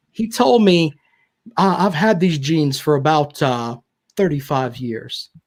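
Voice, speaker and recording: Speaking with a Southern accent, a man sounds animated, with very wide pitch swings. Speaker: sports radio personality. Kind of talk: casual chat.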